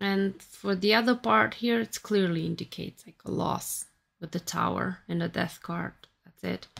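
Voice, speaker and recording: A woman with a Romanian accent at a moderate pace, with big swings in loudness. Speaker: tarot reader and YouTuber; tarot reader, YouTuber. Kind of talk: tarot reading monologue. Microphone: phone near.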